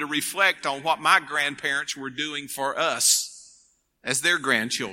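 A man is speaking. His tone is bright and sharp. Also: very clean recording, silent background. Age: 50s. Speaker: conference speaker, preacher. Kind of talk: sermon.

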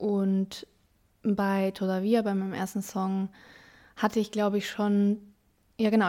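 Dark, mellow tone from a woman, recorded very cleanly against a silent background. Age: 20s. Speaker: student and musician. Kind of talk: interview. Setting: outdoors in a garden.

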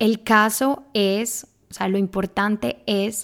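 A woman with fairly even intonation in a very clean recording against a silent background. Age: 20s. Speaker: podcast host, personal growth coach. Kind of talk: solo podcast monologue. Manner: casual, with many fillers.

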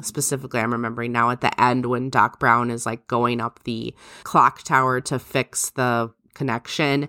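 A woman with a very deep, low pitch and a bright, sharp tone speaks at a moderate pace in monotone, flat intonation. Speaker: podcast co-host. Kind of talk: casual chat.

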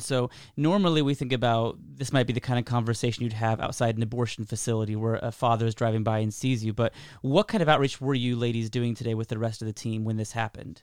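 On a very clean recording with a silent background, a man talks at a very fast pace and medium pitch. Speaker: podcast co-host. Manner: joking, laughs often.

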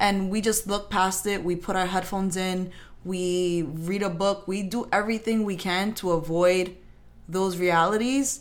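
Here is a woman with an American accent and a normal speaking voice at a medium pitch. She speaks at a fairly slow pace with fairly even intonation. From New York. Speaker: co-host. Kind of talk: casual chat. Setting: studio.

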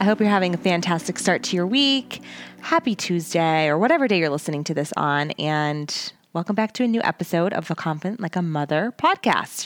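Over background music, a woman talks at a fairly quick pace and a fairly low pitch with lively intonation. The sound is dry and close, with no echo. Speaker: podcast host and life coach for moms. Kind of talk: casual solo podcast monologue. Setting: recording in a closet at home.

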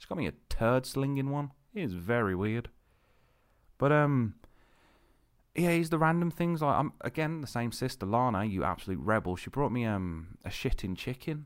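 With a British accent and a medium pitch, a man swings his pitch very widely and leaves long, frequent pauses, on a very clean recording with a silent background. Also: moderate pace. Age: 30s. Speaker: podcast host. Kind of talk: casual monologue. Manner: rambling, hesitant with fillers.

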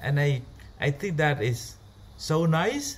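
A somewhat breathy man with a Cambodian accent at a fairly slow pace. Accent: Cambodian (Khmer) English. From Cambodia, rural. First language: Khmer. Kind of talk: personal story. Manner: halting.

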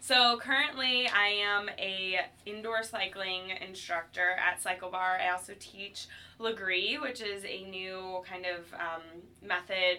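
Speaking at a fairly slow pace, a woman uses a plain, everyday voice at a medium pitch with ordinary pitch variation. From Ohio, US Midwest (Cleveland). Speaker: fitness instructor. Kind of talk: casual interview.

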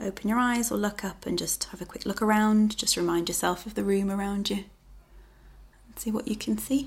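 Somewhat breathy, a woman talks in a medium pitch with fairly even intonation. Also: big swings in loudness. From England. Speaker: well-being consultant. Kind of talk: guided meditation; casual interview.

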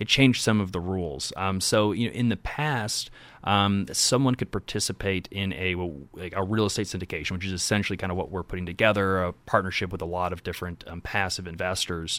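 A man with a very deep, low pitch and an American accent talks at a very fast pace with hardly any pauses, in a very clean recording with a silent background. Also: ordinary pitch variation. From Indianapolis, Indiana. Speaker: real estate investor. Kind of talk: interview.

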